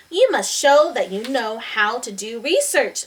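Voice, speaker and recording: A woman uses a put-on character voice with a high pitch. She talks at a moderate pace. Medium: read story. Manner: calm, mysterious.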